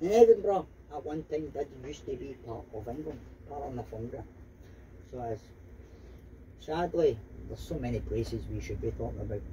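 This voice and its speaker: A man speaks at a fairly quick pace with big swings in loudness and long, frequent pauses. Light background noise sits underneath. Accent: Glaswegian. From Scotland, Glasgow area. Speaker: tour bus driver and guide. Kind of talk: tour guide commentary. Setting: PA system on a tour bus. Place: bus.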